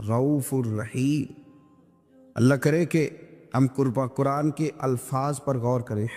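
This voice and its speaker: With music in the background, a man speaks at medium pitch with ordinary pitch variation. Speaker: Islamic preacher. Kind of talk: religious sermon (bayan) to an audience.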